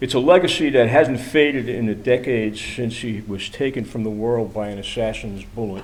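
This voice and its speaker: A man with an American accent speaks at a moderate pace and medium pitch. His loudness swings widely, and the room echo is audible. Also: ordinary pitch variation. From New York City. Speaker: activist speaker. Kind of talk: prepared speech. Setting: church event with audience.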